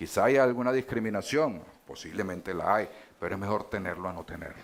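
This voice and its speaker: A man with lively intonation amid audible room echo. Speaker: politician. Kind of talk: panel debate. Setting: stage with audience. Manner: hesitant, many fillers.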